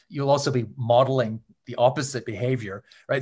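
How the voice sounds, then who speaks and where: Somewhat breathy, a man with a Canadian accent speaks at a medium pitch and a moderate pace with fairly even intonation. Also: quiet background. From Canada. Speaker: author and journalist. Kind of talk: interview.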